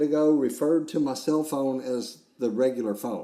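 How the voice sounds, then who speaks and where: A man with a Southern US accent speaks at a moderate pace in a dark, mellow tone, with audible room echo. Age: 60s. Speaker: podcast host. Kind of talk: casual chat.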